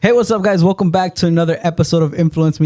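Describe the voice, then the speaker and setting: An energetic male voice with ordinary pitch variation, music in the background. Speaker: podcast host. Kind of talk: casual interview.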